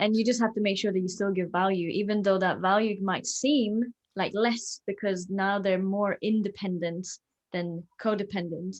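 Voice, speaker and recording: A woman talks in a Swedish accent at a medium pitch and a moderate pace. Her loudness stays very even, and her intonation is fairly even. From Sweden. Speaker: fitness coach. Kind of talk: casual chat.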